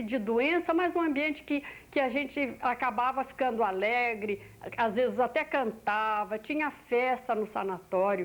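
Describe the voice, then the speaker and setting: Her pitch high and swinging very widely, a woman talks at a fairly slow pace with very even loudness. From Brazil, Minas Gerais. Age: 60s. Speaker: oral history interviewee. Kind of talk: oral history testimony. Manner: halting, with repetitions.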